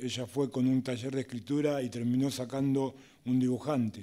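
With a dark, mellow tone, a man talks at a fairly quick pace over a quiet background. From Argentina. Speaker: prison university student and writer. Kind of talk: panel talk at public event. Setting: stage with audience. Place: hall. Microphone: podium.

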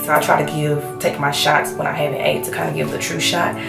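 Clear music fills the background. Over it, a woman's voice is heard. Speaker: expecting mother vlogger. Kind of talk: casual talk to camera. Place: home room. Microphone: camera far.

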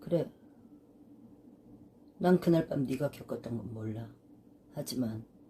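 A woman speaks very slowly with a very deep, low pitch, lively intonation and vocal fry. She leaves long, frequent pauses. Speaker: senior actress. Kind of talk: dramatic monologue, audition reel. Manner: earnest, emotional, consoling.

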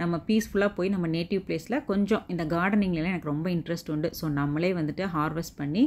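A normal speaking voice with ordinary pitch variation in a very clean recording, silent background. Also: woman, fairly low pitch for a woman. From Tamil Nadu, Erode. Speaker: vlogger. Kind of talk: casual vlog narration.

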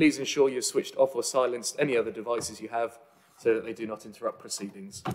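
The man talks at a very fast pace. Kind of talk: formal meeting announcements. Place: meeting room.

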